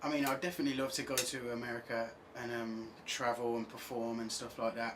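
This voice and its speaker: A man of medium pitch speaks with monotone, flat intonation. Audible room echo and noticeable background noise surround him. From England, Birmingham. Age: 20s. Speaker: singer-songwriter. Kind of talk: radio interview. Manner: halting, many fillers.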